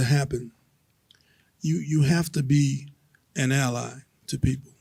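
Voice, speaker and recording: A man with a fairly high, somewhat breathy voice and a dark, mellow tone speaks fairly slowly, with ordinary pitch variation. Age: 70s. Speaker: panelist. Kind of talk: panel discussion.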